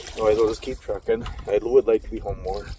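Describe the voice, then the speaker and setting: Man with an Upper Midwest accent, against noticeable background noise. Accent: Upper Midwest American. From Minnesota, Minneapolis. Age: 50s. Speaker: vlogger, truck driver. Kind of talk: casual vlog monologue. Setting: outdoors, in a canoe on a lake.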